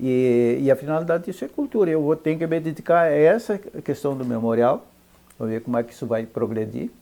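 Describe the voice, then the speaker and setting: A man speaks at a fairly quick pace with lively intonation, a fairly high pitch and a dark, mellow tone. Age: 70s. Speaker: ranch owner. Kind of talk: interview. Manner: halting.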